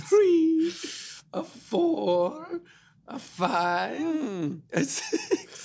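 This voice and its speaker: The speaker uses a put-on character voice. The pitch is high. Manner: playful, dramatic.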